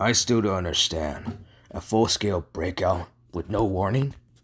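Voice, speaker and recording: This man puts on a raspy character voice, fairly low in pitch. He keeps a moderate pace. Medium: voice reel.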